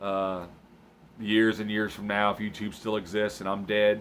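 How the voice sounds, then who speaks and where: Speaking at a moderate pace in an American accent, a man with a fairly low pitch keeps a relaxed tone and a monotone, flat intonation. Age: 30s. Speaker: hunting vlogger. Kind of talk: casual vlog talk. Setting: late at night, home recording. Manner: relaxed, hesitant with fillers.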